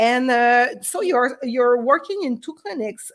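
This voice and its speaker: A woman speaks in a high voice with lively intonation. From Quebec. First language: French. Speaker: veterinarian, live stream host. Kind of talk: bilingual live interview. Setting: Facebook live stream. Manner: fast; halting with many fillers.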